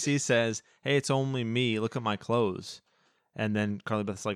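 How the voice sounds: A quiet setting surrounds the clip. The voice is a natural reading voice.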